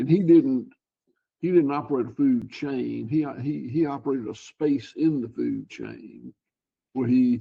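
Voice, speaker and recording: This man has a Southern US accent. He talks fairly slowly. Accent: Southern US (Georgia). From US South, Georgia. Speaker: cattle farmer. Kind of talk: interview. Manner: halting, repeats words.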